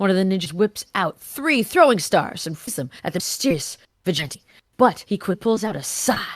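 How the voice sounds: Lively intonation marks a natural reading voice. The background is quiet.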